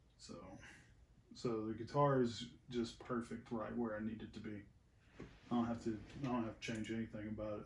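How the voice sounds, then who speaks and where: Monotone, flat intonation is heard with audible room echo. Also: man. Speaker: musician recording a cover song. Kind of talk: casual studio tutorial chat. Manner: soft-spoken; quiet, asked to speak up.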